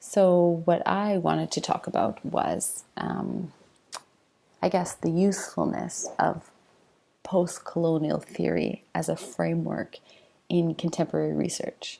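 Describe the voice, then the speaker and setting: This woman is soft-spoken. Her pace is fairly slow. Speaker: university lecturer. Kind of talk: informal lecture. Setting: home, late at night, self-recorded video. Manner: hesitant, with fillers.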